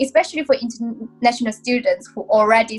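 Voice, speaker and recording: Music plays in the background as a woman with a Chinese accent speaks at a moderate pace. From southern China. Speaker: investment banker. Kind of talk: interview.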